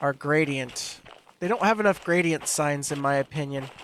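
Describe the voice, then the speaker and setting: Here a man speaks at a moderate pace. His voice is fairly high-pitched. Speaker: gaming youtuber. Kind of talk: gameplay commentary. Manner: casual rambling.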